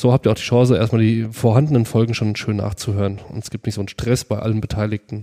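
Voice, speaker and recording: Words come at a very fast pace with hardly any pauses and fairly even intonation. The sound is dry and close, with no echo. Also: man, medium pitch for a man. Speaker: podcast host. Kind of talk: casual chat.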